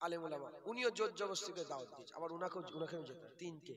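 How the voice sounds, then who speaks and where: A man's high, raised and projected voice with lively intonation. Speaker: Islamic preacher. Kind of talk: sermon.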